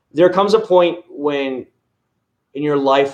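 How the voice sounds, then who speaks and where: A man speaks with lively intonation and an American accent. He has an unremarkable speaking voice. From Florida. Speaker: car care YouTuber. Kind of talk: livestream chat. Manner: casual, conversational.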